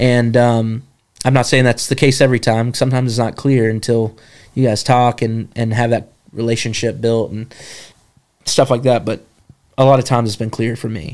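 Using a plain, everyday voice, a man speaks at a moderate pace and medium pitch with fairly even intonation. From North Carolina mountains (Jefferson). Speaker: camp staff member. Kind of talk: casual interview testimony.

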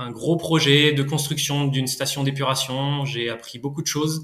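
A man is speaking. His pitch is fairly high. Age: 30s. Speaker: market gardener and orchard farmer. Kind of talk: interview testimony. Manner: halting, many hesitations.

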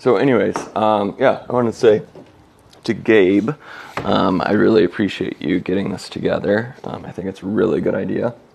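A man speaks at a moderate pace in a fairly low pitch with ordinary pitch variation. There is noticeable background noise. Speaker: podcast host. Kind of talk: casual chat. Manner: hesitant, many fillers.

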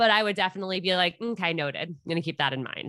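A woman speaks in a New York accent. Her tone is bright and sharp over a quiet background. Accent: New York area American. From New York (Westchester). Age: 20s. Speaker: podcast host on dating. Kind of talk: casual chat.

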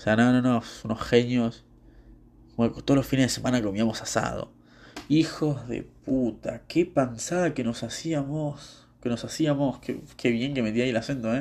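The speaker has a Rioplatense accent and a quiet background. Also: man. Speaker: podcaster. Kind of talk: casual monologue. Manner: rambling, halting.

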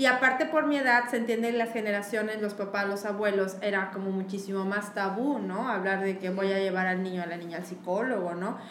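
A woman talking at a fairly quick pace with hardly any pauses, amid noticeable background noise and audible room echo. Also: medium pitch for a woman, ordinary pitch variation. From Mexico City. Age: 30s. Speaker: illustrator. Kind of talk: casual chat. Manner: animated.

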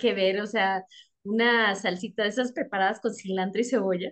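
This woman has an ordinary speaking voice, pitched in the middle of her range, with fairly even intonation. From Texas, raised partly in Mexico. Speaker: English teacher. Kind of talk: casual chat.

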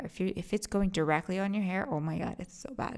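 This woman's voice sits at a fairly low pitch. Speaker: hairstylist podcast host. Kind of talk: tutorial. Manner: low-energy.

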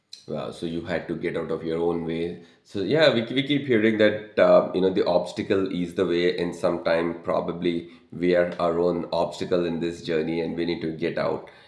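A man's very deep, low voice with ordinary pitch variation and audible room echo. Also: moderate pace. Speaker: podcast host and life coach. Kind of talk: casual interview.

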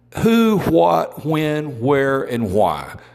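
Music plays in the background as a man with an Alabama accent talks with very wide pitch swings. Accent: Southern US (Alabama). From US South. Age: 50s. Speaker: podcast host. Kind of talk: political commentary.

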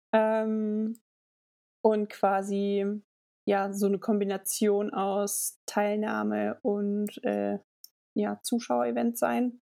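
A woman's dark, mellow tone at a very slow pace with long, frequent pauses. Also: medium pitch for a woman, ordinary pitch variation. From Germany, Hesse (Linsengericht). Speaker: mountain bike advocate and event PR. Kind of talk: casual interview.

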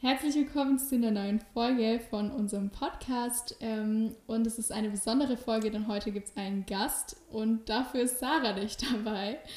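A woman's fairly high-pitched voice at a moderate pace with hardly any pauses, over noticeable background noise. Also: fairly even intonation. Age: 20s. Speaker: podcast host. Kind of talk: casual interview chat. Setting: visiting the guest at her home.

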